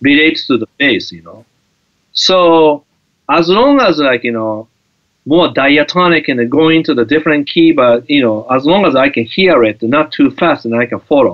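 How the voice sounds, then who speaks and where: A man with a Japanese accent and a fairly high pitch, ordinary pitch variation and a moderate pace. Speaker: guitar teacher. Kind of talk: interview. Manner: halting.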